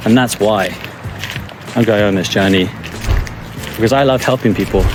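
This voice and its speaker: Over music in the background, a man with a medium pitch speaks in a calm tone at a fairly quick pace with fairly even intonation. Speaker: life coach vlogger. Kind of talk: walking vlog monologue. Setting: outdoors in forest. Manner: soft-spoken.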